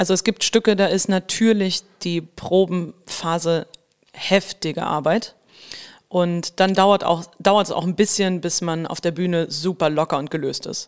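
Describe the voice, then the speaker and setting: A woman with a plain, everyday voice, fairly low in pitch, at a fairly slow pace with fairly even intonation. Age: 30s. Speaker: musical actress. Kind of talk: casual chat. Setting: podcast studio.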